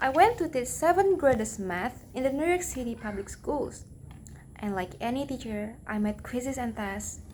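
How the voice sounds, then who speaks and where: A woman's high-pitched voice with very wide pitch swings, in a non-native accent. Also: moderate pace. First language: not English. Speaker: English language learner. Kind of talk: read-aloud pronunciation practice of a talk.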